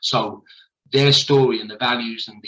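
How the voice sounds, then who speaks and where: This man speaks with a southern English accent. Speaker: school principal. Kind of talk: presentation. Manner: halting.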